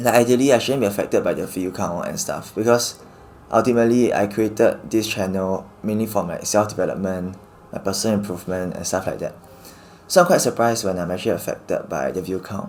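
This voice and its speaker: A man talking at a very fast pace, with ordinary pitch variation. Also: fairly low pitch for a man. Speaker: YouTuber. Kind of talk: personal vlog reflection. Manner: speeds up first words, slurred pronunciation; reserved, slightly awkward on camera.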